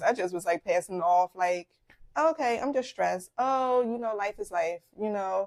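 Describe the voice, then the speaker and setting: A woman's lively intonation at a moderate pace, in a dry, close sound with no echo. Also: very clean recording, silent background. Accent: Philadelphia. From Philadelphia, US. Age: 40s. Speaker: podcast host, doctor. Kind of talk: personal health story, casual monologue. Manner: hesitant with many fillers.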